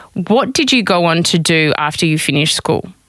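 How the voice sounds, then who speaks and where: A woman with a very deep, low pitch speaks at a very fast pace with lively intonation. Noticeable background noise runs behind her. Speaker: podcast host. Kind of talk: interview conversation.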